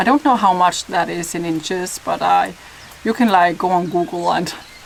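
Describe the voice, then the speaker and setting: A woman talks over noticeable background noise. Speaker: YouTuber. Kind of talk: casual talk to camera.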